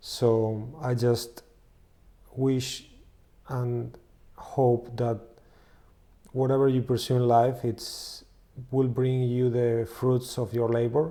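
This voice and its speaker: Delivery comes very slowly with long, frequent pauses, in a Spanish accent. The intonation stays monotone and flat. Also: man, medium pitch for a man. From Spain. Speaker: music producer and co-author. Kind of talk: channel introduction.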